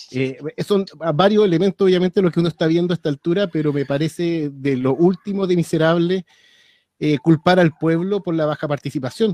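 A man talks at a moderate pace in a high-pitched voice with ordinary pitch variation. The sound is dry and close, with no echo. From Chile, Santiago (Maipú). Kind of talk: casual chat. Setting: video call. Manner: halting.

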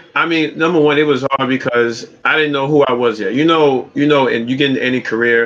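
A man talks in a Brooklyn accent at a fairly quick pace and fairly high pitch. Noticeable background noise is present. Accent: New York (Brooklyn). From US, Brooklyn, New York City. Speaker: streamer and rideshare driver. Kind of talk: casual chat.

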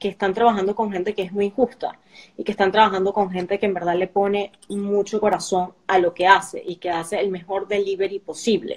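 This woman's pitch sits in the medium range. She delivers her words at a moderate pace with monotone, flat intonation. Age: young. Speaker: executive producer. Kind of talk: casual interview. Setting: live stream.

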